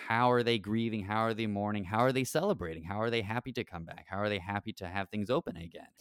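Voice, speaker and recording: With an American accent, a man talks very fast in a fairly low voice with ordinary pitch variation, the recording very clean, dry and close with no echo over a silent background. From Texas, Rio Grande Valley. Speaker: parish evangelization director and podcast co-host. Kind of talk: casual interview about scripture.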